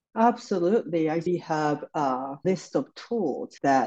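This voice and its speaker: A dark, mellow tone in a Japanese accent, with very wide pitch swings. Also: woman. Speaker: psychotherapist. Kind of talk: interview.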